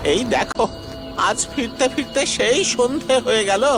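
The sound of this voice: A cartoonish character voice with a fairly high pitch talks over clear music in the background.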